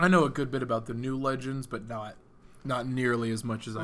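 With fairly even intonation, a man at medium pitch speaks at a moderate pace in an unremarkable speaking voice. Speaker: podcast co-host.

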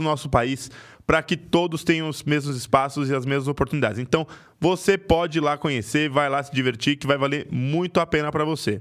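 A man's normal speaking voice, fairly high in pitch, with fairly even intonation and a fairly quick pace, in a very clean recording with a silent background. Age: 20s. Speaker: podcast co-host. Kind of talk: casual chat; sales pitch.

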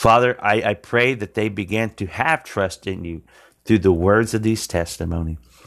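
In a Southern US accent, a man speaks at a fairly slow pace with a fairly low pitch and ordinary pitch variation. The recording is very clean, with a silent background. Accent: Southern US twang, country. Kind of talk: testimony and sermon-style preaching. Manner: earnest, halting with fillers.

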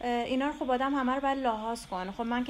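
A woman's very fast delivery with fairly even intonation. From Iran, Tehran. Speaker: visual artist. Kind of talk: interview.

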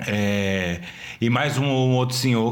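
An unremarkable speaking voice from a man at medium pitch, with ordinary pitch variation. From Brazil, Pernambuco (Recife area). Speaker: podcast co-host. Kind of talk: casual chat.

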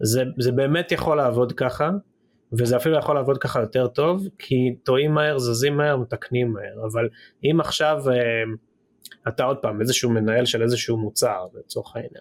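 He has a normal speaking voice at a medium pitch, and he is a man speaking at a moderate pace. His pitch variation is ordinary. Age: 30s. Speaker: tech company CEO. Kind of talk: interview.

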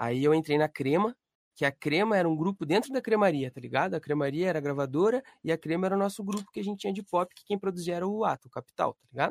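A man talks at a very fast pace with a high pitch and lively intonation, in a dry, close sound with no echo. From Brazil, Curitiba. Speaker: independent artist and music producer. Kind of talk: casual chat. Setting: live stream.

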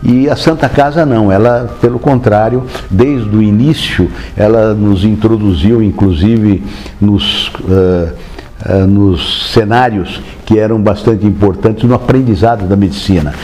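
In a room with audible echo and noticeable background noise, a man speaks at a fairly low pitch and a fairly slow pace, with very even loudness and ordinary pitch variation. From Brazil, interior of São Paulo state (Marília). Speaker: physician. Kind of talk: oral history interview. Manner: hesitant, with many fillers.

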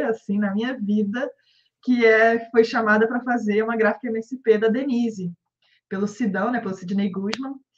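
With a Rio de Janeiro accent, a woman speaks at a moderate pace and fairly high pitch, with ordinary pitch variation. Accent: carioca. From Rio de Janeiro, Brazil. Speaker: comic book artist. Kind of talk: casual interview.

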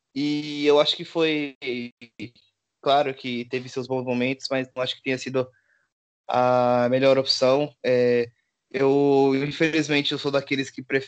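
A man speaks at a medium pitch and a fairly slow pace, his intonation flat and monotone, with long, frequent pauses. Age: 20s. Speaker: podcast co-host, football fan. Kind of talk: casual chat.

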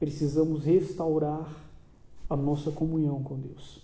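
The speaker has a Brazilian accent and a somewhat breathy sound. The delivery is fairly slow, with monotone, flat intonation. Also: man. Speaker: preacher. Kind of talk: sermon, preacher in full flow, urgent exhortation and call to repentance. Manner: fervent, emphatic, pleading and rising in intensity.

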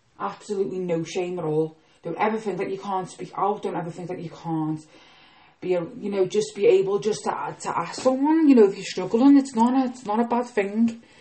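A woman talks at a fairly quick pace in a medium pitch, her intonation lively. Her loudness swings widely, and noticeable background noise sits behind her. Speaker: podcast host. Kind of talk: casual monologue. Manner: fast.

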